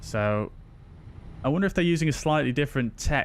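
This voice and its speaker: Ordinary pitch variation from a man talking at a very fast pace. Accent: Yorkshire. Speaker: flight simulator streamer. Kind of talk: live stream commentary and chat. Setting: live stream. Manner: casual, chatty.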